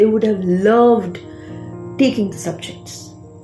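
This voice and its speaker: A woman talks at a moderate pace. Behind her, music plays. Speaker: public speaking coach. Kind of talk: educational talk to camera.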